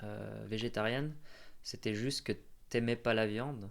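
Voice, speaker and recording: The voice belongs to a man. It rests at a medium pitch. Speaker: podcast host. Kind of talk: casual interview questions.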